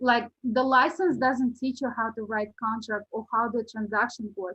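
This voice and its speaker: A woman with a non-native accent speaks at a fairly slow pace. Her pitch is fairly high. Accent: foreign. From Uzbekistan. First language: not English. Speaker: real estate agent. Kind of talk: podcast interview.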